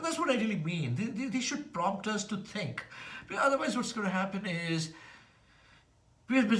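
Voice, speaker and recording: Lively intonation comes through alongside noticeable background noise and audible room echo. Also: man. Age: 60s. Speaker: vlogger, former banker. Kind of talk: casual monologue vlog. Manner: halting.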